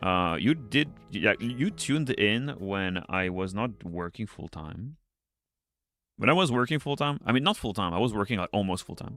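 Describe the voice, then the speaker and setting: Music behind a man with a non-native accent, his fairly low voice lively in intonation at a moderate pace. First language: not English. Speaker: streamer and teacher. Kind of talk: casual live stream chat while drawing. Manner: casual, distracted, swears often.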